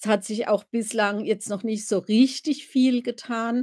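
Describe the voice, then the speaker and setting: The voice has a dark, mellow tone and fairly even intonation. Nothing much stirs in the quiet background. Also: woman. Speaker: royal-family commentator, live streamer. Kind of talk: casual live stream chat about royals. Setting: live stream, home. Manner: chatty, relaxed, informal. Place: home room. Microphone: webcam.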